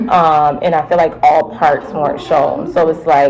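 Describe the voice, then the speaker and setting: At a moderate pace, a woman talks with a very deep, low pitch over noticeable background noise. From Jamaica (Manchester parish, countryside). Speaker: reality TV contestant. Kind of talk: interview.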